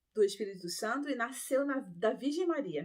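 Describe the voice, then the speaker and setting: In a normal speaking voice, a woman talks at a moderate pace, her fairly high pitch carried by lively intonation. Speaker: ex-Adventist Bible teacher. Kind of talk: Bible study talk.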